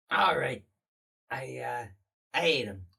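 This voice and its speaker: This is a put-on character voice. It is raspy and low-to-middle in pitch. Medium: actual play. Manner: mischievous.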